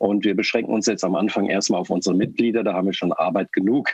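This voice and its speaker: At a very fast pace, the words come with fairly even intonation. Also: man. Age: 50s. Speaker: party board member. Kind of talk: interview.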